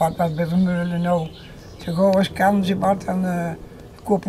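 Over light background noise, a woman with a fairly low pitch speaks very slowly in a monotone, flat intonation, leaving long, frequent pauses. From North Brabant, Netherlands (Herpen). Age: 90s. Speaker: elderly woman celebrating 70th wedding anniversary. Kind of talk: interview at home. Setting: home visit with camera. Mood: reminiscing, relaxed. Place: garden. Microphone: lapel.

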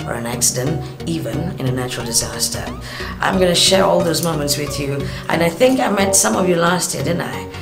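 Woman talking at a fairly quick pace with lively intonation, clear music in the background. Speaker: radio traffic presenter; traveller and public speaker. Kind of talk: promotional invitation to camera. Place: home room. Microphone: webcam.

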